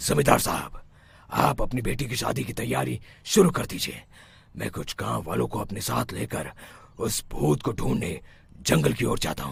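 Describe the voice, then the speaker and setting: A man's cartoonish character voice, very deep and low, at a moderate pace with very wide pitch swings. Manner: authoritative.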